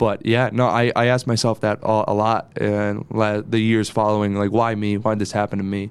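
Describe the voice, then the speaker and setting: A man with a fairly low pitch speaks in a monotone, flat intonation at a moderate pace, with hardly any pauses. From northeastern Pennsylvania, Dunmore/Scranton area. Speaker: TV news reporter. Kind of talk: casual interview chat.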